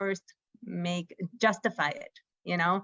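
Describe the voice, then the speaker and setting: Medium in pitch, a woman speaks in an American accent. She has an ordinary speaking voice and fairly even intonation. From United States. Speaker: startup co-founder and executive. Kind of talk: interview at a conference fireside chat.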